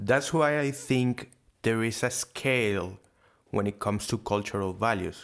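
Someone speaks with a Spanish accent at a fairly slow pace with ordinary pitch variation. The recording is very clean, with a silent background. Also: man. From Venezuela. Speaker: podcast co-host. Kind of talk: casual discussion podcast.

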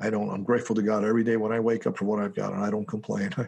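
Doing a put-on character voice, a man rattles along at a very fast pace in a raspy, flat monotone with a fairly low pitch. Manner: heartfelt, grateful.

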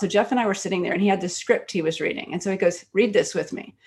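A plain, everyday voice, a woman at medium pitch with an American accent and fairly even intonation. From Texas Gulf Coast. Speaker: writer and film producer. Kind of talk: casual interview chat.

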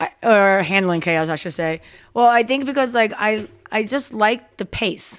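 A woman speaks with an American accent in an ordinary speaking voice, fairly high in pitch with ordinary pitch variation. Her pace is moderate, and the recording is very clean with a silent background. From Philadelphia area, Delaware County. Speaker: bartender. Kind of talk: casual chat.

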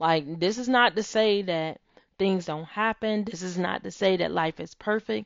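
A woman speaks at a fairly slow pace in a warm tone. Her pitch is medium, with ordinary pitch variation. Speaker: podcast host. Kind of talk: faith-based pep talk with guided visualization exercise. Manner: warm, earnest, encouraging; emphatic, affirming, repeating key phrases.

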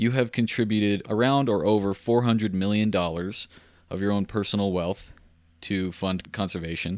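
In a very clean recording with a silent background, a man uses a normal speaking voice, fairly low in pitch, at a moderate pace with fairly even intonation. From Central Texas. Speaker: podcast host. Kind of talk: interview, conversational.

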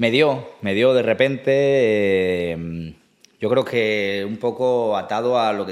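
Fairly low in pitch with ordinary pitch variation, this man has a plain, everyday voice. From Asturias, Spain. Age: 30s. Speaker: musician. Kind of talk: casual chat.

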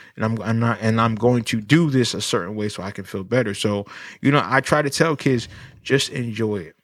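On a very clean recording with a silent background, a man with an unremarkable speaking voice talks at a fairly quick pace, with a medium pitch and ordinary pitch variation. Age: 30s. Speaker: licensed professional counselor. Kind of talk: casual chat.

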